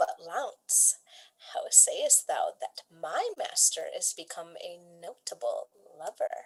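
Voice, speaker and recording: Using a put-on character voice at an extremely high pitch, a woman speaks at a fairly slow pace in a dry, close sound with no echo. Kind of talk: Shakespearean stage comedy. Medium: stage play. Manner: bantering, sarcastic.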